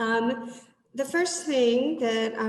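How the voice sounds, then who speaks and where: Someone with an American accent speaks at a very slow pace, with audible echo in the room. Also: woman. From United States. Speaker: teacher. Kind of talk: webinar presentation. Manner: casual.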